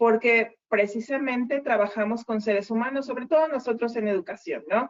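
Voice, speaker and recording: A woman with an unremarkable speaking voice talks at a fairly quick pace, her pitch fairly high and her pitch variation ordinary. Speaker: university lecturer. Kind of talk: online lecture. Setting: video call.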